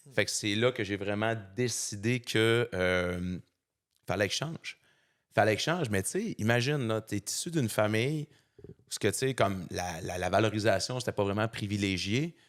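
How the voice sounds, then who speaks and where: A man with a Saguenay–Lac-Saint-Jean accent, fairly low pitch, ordinary pitch variation and moderate pace, in a very clean recording with a silent background and a dry, close sound with no echo. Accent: Saguenay Quebec French accent, noticeable. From Quebec, Saguenay. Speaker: fitness coach and motivational speaker. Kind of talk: podcast interview, personal story. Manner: casual, colloquial, with many fillers.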